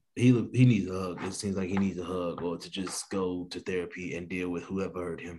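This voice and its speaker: Very deep and low in pitch, a man with an American accent talks at a fairly quick pace with hardly any pauses, a dark, mellow tone, fairly even intonation, and big swings in loudness. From East St. Louis, Illinois. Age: 30s. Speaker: guest. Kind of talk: casual chat.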